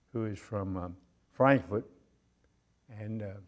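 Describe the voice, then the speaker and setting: A man speaks with an American accent in a dark, mellow tone. His intonation stays fairly even. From US South, Durham, North Carolina. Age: 90s. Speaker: retired navy officer. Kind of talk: talk to student group. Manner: halting, with fillers.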